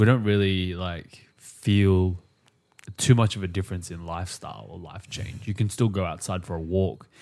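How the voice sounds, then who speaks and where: In a very clean recording with a silent background, a man with a very deep, low voice keeps his intonation fairly even while his loudness swings widely. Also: moderate pace. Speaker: podcast co-host. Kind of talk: casual chat. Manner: playful, jokey.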